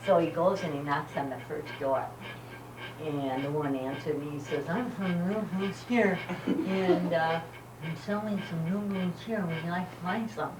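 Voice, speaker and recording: Over noticeable background noise, a woman with a fairly low pitch speaks at a fairly slow pace with lively intonation. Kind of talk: joke telling to family. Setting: outdoors, home video. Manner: warm, fun, with laughter.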